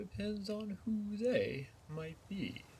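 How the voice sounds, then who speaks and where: Against clear background noise, a man puts on a character voice pitched high. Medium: read story. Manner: knowing, riddling.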